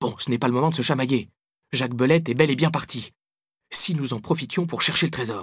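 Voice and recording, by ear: With ordinary pitch variation, a natural voice reads aloud against a quiet backdrop.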